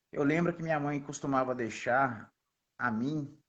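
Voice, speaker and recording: Medium pitch from a man, varying in an ordinary way. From Belo Horizonte, Minas Gerais, Brazil. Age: young. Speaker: missionary. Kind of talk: interview testimony.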